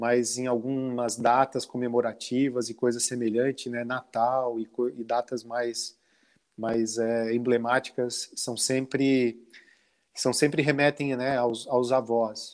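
The man's intonation is flat and monotone. He talks very slowly. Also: medium pitch for a man. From Santa Catarina, southern Brazil. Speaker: brewery owner and author. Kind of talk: interview.

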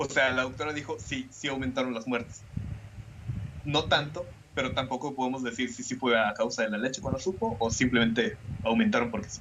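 A man with a Mexican accent talks at a fairly quick pace. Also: medium pitch for a man, ordinary pitch variation. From Mexico. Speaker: podcast host. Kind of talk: casual chat with scripted narration.

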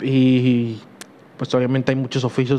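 A man speaks at a medium pitch. His intonation stays flat and monotone. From Mexico, Huejotzingo, Puebla. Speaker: podcast host. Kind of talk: solo podcast monologue. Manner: halting, many fillers.

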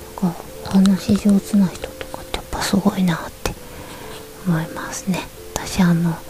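Noticeable background noise sits behind a woman speaking at a medium pitch in a monotone, flat way, at a fairly slow pace with long, frequent pauses and big swings in loudness. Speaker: podcaster. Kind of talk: bedtime talk radio. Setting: in bed under a futon. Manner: soft-spoken.

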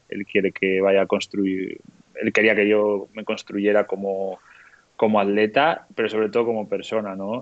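Speaking at a fairly slow pace, a man keeps a fairly low pitch and monotone, flat intonation. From Spain, León. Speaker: professional trail runner. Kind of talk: casual chat.

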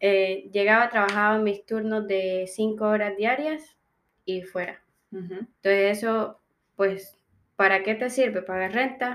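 A woman with an unremarkable speaking voice talks at medium pitch and a fairly slow pace, with fairly even intonation. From Colombian Caribbean coast. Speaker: international student. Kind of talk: interview testimony. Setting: in person, audio only.

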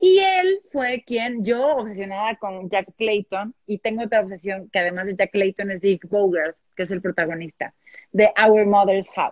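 A woman talks at a moderate pace with a Mexican accent. The sound is dry and close, with no echo. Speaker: publisher. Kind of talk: casual chat.

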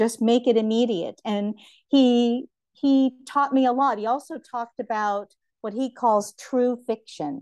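Fairly slowly and with ordinary pitch variation, a woman speaks in a high voice, the sound dry and close with no echo and the background quiet. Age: 60s. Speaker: writer and visual artist. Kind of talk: casual interview.

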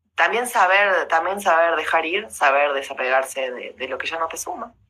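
Bright and sharp in tone, a woman with an Argentine accent speaks at a fairly low pitch, a moderate pace and ordinary pitch variation. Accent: Rioplatense Argentine Spanish. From Argentina, Rosario. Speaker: motivational speaker and former lawyer. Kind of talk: casual interview.

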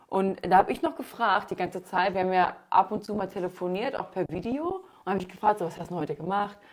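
Over noticeable background noise, a woman speaks at a very fast pace with hardly any pauses, a medium pitch and ordinary pitch variation. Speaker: podcast host. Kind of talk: casual chat.

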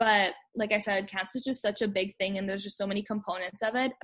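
Over a quiet background, a woman talks at a very fast pace. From Canada, Manitoba (Winnipeg). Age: 20s. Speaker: translator, cancer survivor. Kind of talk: interview, personal testimony.

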